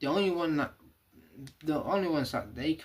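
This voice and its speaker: A man's somewhat breathy voice moves at a fairly quick pace, and his pitch varies in an ordinary way. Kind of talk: casual livestream monologue. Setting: livestream. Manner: halting.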